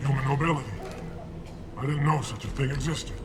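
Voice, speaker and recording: A put-on character voice at a very fast pace, with clear echo and loud background noise. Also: man, fairly high pitch for a man. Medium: fan dub. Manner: tense, guarded.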